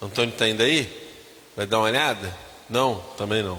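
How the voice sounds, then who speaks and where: Audible room echo and noticeable background noise surround the speaker. A man talks at a medium pitch with ordinary pitch variation. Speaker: pastor. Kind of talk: church announcements.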